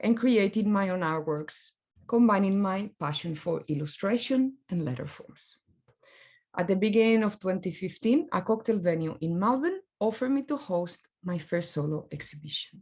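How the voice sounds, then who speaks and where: A woman with a non-native accent talks at a moderate pace. Her voice is somewhat breathy, with lively intonation. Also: medium pitch for a woman. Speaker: graphic designer. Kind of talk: presentation talk.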